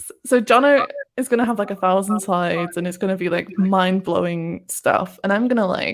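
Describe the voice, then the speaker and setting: A woman speaks with a British accent at a medium pitch. Her pace is moderate and her pitch variation ordinary. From Britain. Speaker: SEO podcast co-host. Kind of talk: casual chat.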